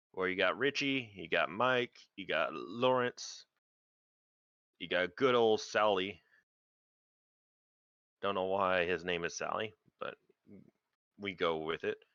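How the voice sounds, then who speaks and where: A man uses a put-on character voice, raspy and fairly low in pitch. He moves at a fairly slow pace with ordinary pitch variation. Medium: actual play.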